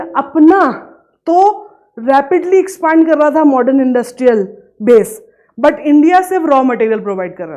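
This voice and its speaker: A woman with a dark, mellow tone and lively intonation. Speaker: economics teacher. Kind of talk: lecture.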